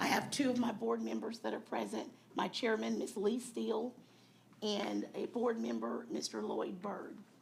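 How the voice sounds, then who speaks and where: A woman talks at a moderate pace. Noticeable background noise sits behind her. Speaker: county chief appraiser. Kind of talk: public meeting presentation. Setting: county board meeting.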